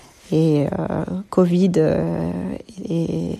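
A woman is talking. There is noticeable background noise. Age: 30s. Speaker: mother giving testimony. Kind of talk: recorded testimony. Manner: halting, many hesitations.

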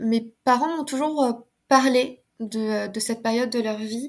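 At a very slow pace, a woman speaks with fairly high pitch and fairly even intonation. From France. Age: 30s. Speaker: osteopath. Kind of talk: casual chat.

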